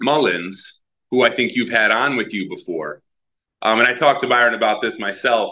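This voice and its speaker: A man's bright, sharp voice at a medium pitch, with ordinary pitch variation and a moderate pace. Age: 30s. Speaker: professional basketball player. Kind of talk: interview. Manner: casual.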